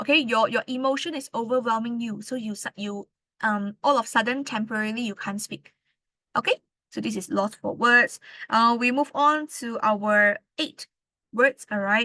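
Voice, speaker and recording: A loud woman speaks in a fairly high pitch with a bright, sharp tone and ordinary pitch variation, against a quiet background in a dry, close sound with no echo. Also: moderate pace. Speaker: English tutor. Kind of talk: lecture.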